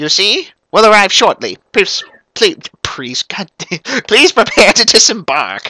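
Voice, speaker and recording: A man uses a put-on character voice pitched high, with very wide pitch swings. He talks at a very slow pace. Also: dry, close sound with no echo. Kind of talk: amateur let's-play voice acting. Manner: polite, deferential.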